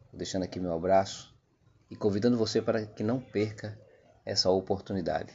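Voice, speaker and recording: Here a man talks at a moderate pace with a fairly low pitch. His intonation stays fairly even. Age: 50s. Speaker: podcast host. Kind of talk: podcast introduction.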